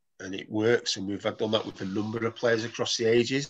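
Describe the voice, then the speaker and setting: A man with a strong Mancunian accent, fairly low pitch, monotone, flat intonation and a very fast pace. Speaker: football academy manager. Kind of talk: presentation talk on video call.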